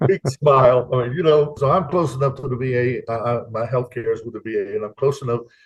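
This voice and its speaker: Speaking very fast with hardly any pauses, a man with an American accent has a somewhat breathy voice at a medium pitch and ordinary pitch variation. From Louisiana. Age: 70s. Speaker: retired expat, Air Force veteran. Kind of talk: interview.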